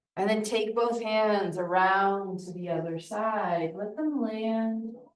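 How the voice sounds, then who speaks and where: Audible room echo surrounds a woman of medium pitch who speaks in a soothing tone at a very slow pace. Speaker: yoga teacher. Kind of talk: guided yin yoga class. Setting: yoga studio, livestreamed. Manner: slow, soothing.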